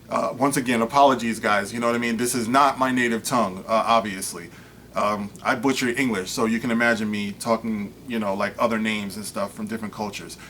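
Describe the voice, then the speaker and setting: At a medium pitch, this man talks at a fairly quick pace with fairly even intonation. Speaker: online commentator. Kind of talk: commentary reading a news article aloud. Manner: fast; casual, filler-heavy.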